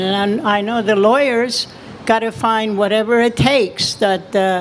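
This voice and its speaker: Against noticeable background noise, a woman talks at a fairly slow pace with fairly even intonation. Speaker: activist. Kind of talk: rally speech. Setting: outdoors at a rally.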